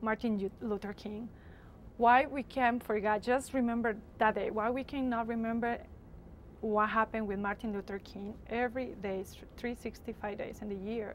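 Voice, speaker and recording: A woman talks in a Spanish accent at a moderate pace. Her pitch sits fairly high, and her intonation stays fairly even. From Latin America. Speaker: university student. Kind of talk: interview.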